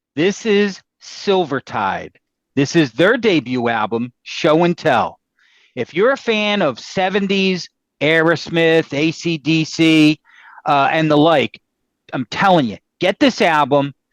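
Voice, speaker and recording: A man with an American accent speaks very slowly at a fairly high pitch with lively intonation, in a dry, close sound with no echo and a quiet background. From Philadelphia, US. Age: 60s. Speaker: music podcast host, record collector. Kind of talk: casual chat.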